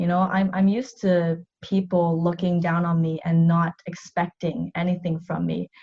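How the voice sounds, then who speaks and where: This woman speaks with a Canadian accent at a moderate pace, her pitch fairly low with ordinary variation. Her tone is dark and mellow, and somewhat breathy. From Vancouver, Canada. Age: 30s. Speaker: athlete and navy reservist. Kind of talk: interview.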